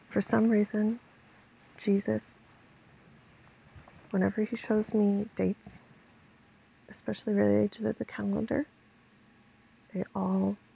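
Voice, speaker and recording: Quiet and at a fairly slow pace, a woman speaks in a dry, close sound with no echo. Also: long, frequent pauses. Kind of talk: religious vlog monologue.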